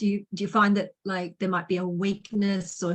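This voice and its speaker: A woman's somewhat breathy voice stays monotone and flat at a moderate pace. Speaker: podcast host. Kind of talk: interview host talk.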